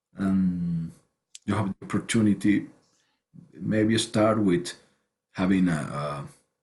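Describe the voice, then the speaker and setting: A man with a non-native accent speaks at a very slow pace. His pitch variation is ordinary. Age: 40s. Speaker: writer and online show host. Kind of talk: interview conversation. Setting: video call. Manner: halting, many repetitions.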